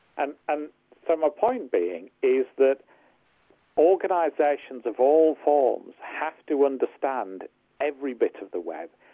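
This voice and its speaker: With a Liverpool accent, a man speaks at a fairly slow pace in a fairly high voice with lively intonation. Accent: English accent, compared to Beatles accents. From northern England, Hartlepool. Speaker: tech lawyer and podcast co-host. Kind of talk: casual podcast discussion.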